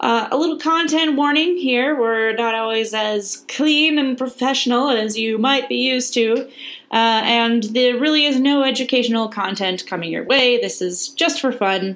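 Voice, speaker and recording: A woman's high-pitched voice with a Midwestern accent, moderate in pace, with hardly any pauses. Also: ordinary pitch variation. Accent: Midwestern twang. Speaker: podcast co-host. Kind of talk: scripted announcement; casual chat. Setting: studio. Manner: animated.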